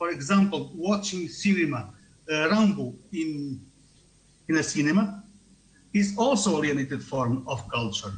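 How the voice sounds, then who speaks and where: A man with a non-native accent talks at a moderate pace with lively intonation and long, frequent pauses. There is noticeable background noise and audible room echo. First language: not English. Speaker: tourism researcher. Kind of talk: conference talk. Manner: halting.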